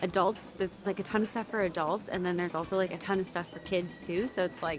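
Talking at a very fast pace, a woman keeps her intonation fairly even. The sound is dry with no echo, with faint music in the background. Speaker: travel vlogger. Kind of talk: casual vlog chat. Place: street. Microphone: phone near.

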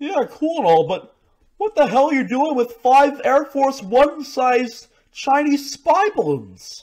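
This cartoonish character voice sits at a high pitch. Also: fairly slow pace. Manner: sarcastic, exasperated.

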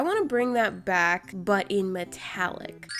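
A woman of medium pitch at a very slow pace, with music in the background. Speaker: art and craft YouTuber. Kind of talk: casual craft video voice-over. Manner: soft-spoken.

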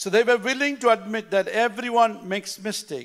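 A man's voice with ordinary pitch variation against a quiet background. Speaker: pastor. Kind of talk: sermon. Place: church. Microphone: handheld.

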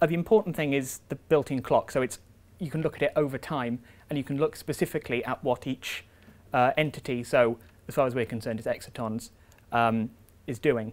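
At a fairly quick pace, a man speaks with medium pitch and fairly even intonation.

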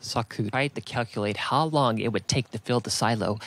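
Pitch moves in an ordinary way as someone reads in a natural voice.

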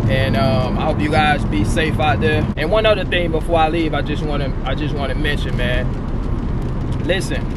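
Loud background noise surrounds a man speaking at a moderate pace. The sound is dry with no echo. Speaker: truck driver vlogger. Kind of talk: casual vlog chat. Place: car. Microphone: phone near.

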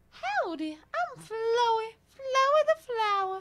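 In a put-on character voice, the speaker uses extremely high pitch at a fairly slow pace. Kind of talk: folksy. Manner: cute, cheerful.

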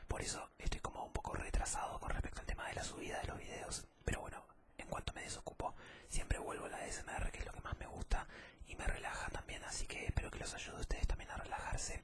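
A soft-spoken man talks at a very fast pace over loud background noise. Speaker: ASMR creator. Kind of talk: casual ASMR talk to viewers. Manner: soft-spoken, hushed ASMR voice close to mic. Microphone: studio mic.

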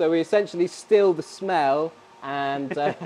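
A man speaks at a fairly slow pace against light background noise. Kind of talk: interview answer. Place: factory.

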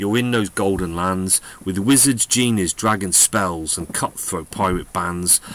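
Noticeable background noise sits behind a man with a fairly low pitch. He speaks fairly slowly, with ordinary pitch variation. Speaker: poetry reader. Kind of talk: reading a poem aloud, with a short spoken intro and outro. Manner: rhythmic, sing-song cadence with rhyming pacing; warm, gently animated storyteller delivery.

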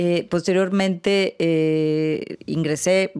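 Her intonation stays fairly even. The woman is heard against a quiet background. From Mexico. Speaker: international organization official. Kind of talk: interview. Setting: studio. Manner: halting, many fillers. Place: studio. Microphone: studio mic.

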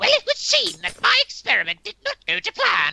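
A put-on character voice at a moderate pace. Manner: theatrical, formal.

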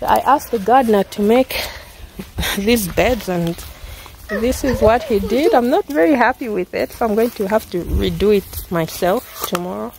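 Light background noise accompanies a woman speaking at a moderate pace with ordinary pitch variation, in a dry sound with no echo. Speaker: mother vlogger. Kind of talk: casual vlog chat. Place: garden. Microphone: phone near.

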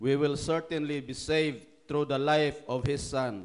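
A man speaks very slowly at a fairly high pitch. The background is quiet. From Philippines. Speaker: preacher. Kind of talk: fervent prayer, pleading and rhythmic, closing each phrase with "O God". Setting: online church service via livestream, from Japan. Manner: earnest, heartfelt, with repeated invocations and slow, solemn cadence. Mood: fervent prayer. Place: hall. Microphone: handheld.

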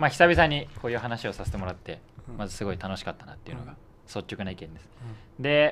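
Very fast delivery from a man at medium pitch, with very wide pitch swings, big swings in loudness and light background noise. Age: 20s. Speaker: student political activist; guest. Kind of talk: casual panel discussion. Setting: studio. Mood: cheerful, smiling. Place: studio. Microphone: studio mic.

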